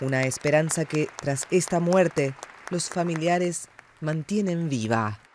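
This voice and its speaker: Over crowd noise in the background, a man speaks in a serious tone at a very slow pace, with ordinary pitch variation. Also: fairly high pitch for a man. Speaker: news reader. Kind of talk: tv news report, scripted. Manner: formal, measured; serious, even-paced delivery.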